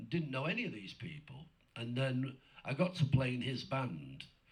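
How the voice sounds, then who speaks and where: This man speaks at medium pitch with vocal fry and ordinary pitch variation. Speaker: blues guitarist. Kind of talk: interview.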